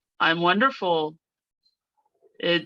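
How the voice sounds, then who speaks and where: A woman with a General American accent, fairly low in pitch, with fairly even intonation and music in the background. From United States. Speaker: native English speaker guest. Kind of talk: casual interview. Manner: slow, deliberate with pauses.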